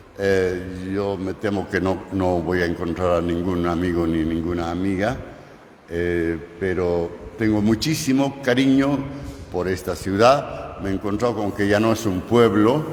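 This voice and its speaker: Amid noticeable background noise and audible room echo, a man with a very deep, low pitch speaks fairly slowly with ordinary pitch variation. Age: 80s+. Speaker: journalist. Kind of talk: conference talk. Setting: university auditorium. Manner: halting.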